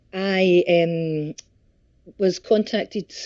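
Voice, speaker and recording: Fairly even intonation comes through in a Scottish accent. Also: woman. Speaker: country singer. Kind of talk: interview.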